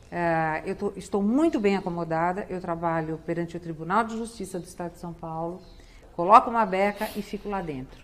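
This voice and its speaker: This woman has an unremarkable speaking voice, fairly low in pitch, with ordinary pitch variation and big swings in loudness. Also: fairly quick pace. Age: 60s. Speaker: public prosecutor and political candidate. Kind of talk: TV interview.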